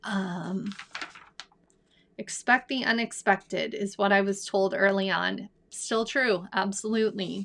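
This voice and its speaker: A woman's voice with vocal fry, fairly even intonation and long, frequent pauses. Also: medium pitch for a woman. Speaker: divorce support coach. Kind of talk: live Q&A chat.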